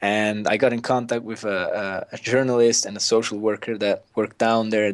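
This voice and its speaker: A man speaks at a moderate pace in a fairly low, flat monotone. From Switzerland, Swiss mountains. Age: young. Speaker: documentary film director. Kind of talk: interview. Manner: halting.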